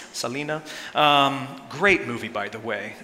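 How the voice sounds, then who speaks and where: A man's fairly high voice amid audible room echo and noticeable background noise. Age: 30s. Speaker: pastor. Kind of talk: sermon.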